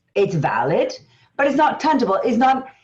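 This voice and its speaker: A woman with an Argentine accent speaks at a high pitch with lively intonation. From Argentina. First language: Spanish. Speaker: business strategist and coach. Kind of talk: interview.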